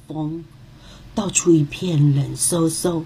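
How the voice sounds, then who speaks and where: This woman talks at a fairly slow pace in a gentle, animated tone, her pitch fairly low. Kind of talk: children's fairy-tale narration, scripted storytelling read aloud.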